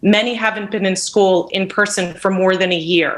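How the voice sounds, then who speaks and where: A woman speaks at a moderate pace with fairly even intonation. She has an unremarkable speaking voice. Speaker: parent giving public comment. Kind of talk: public comment at virtual board meeting. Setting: video call.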